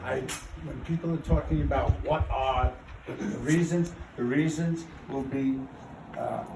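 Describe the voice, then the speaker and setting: Noticeable background noise sits behind a man's voice. He talks at a fairly slow pace with long, frequent pauses. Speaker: neighborhood council president chairing meeting. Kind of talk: heated public meeting debate. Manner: loud.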